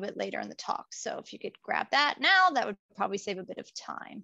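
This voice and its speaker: A woman with a fairly high pitch and a bright, sharp tone talks at a fairly quick pace with vocal fry, in a dry, close sound with no echo. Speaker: UX researcher and presenter. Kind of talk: presentation talk. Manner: casual, upbeat.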